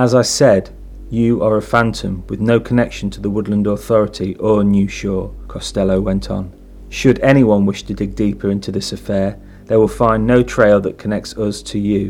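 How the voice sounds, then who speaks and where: A normal speaking voice at a moderate pace with fairly even intonation. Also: man, fairly low pitch for a man. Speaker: fiction narrator and podcast host. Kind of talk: horror audio fiction narration. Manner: measured, suspenseful storytelling with a formal, theatrical delivery.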